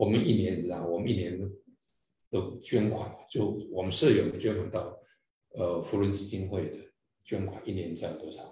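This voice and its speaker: At a moderate pace, a somewhat breathy voice with fairly even intonation makes long, frequent pauses, swinging widely in loudness amid audible room echo. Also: man, fairly low pitch for a man. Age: 60s. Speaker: district governor of a service club. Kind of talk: interview.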